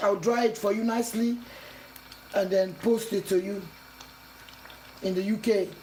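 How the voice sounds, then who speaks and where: Over noticeable background noise, a woman with a non-native accent speaks at a moderate pace. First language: not English. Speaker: cooking channel host. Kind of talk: cooking tutorial.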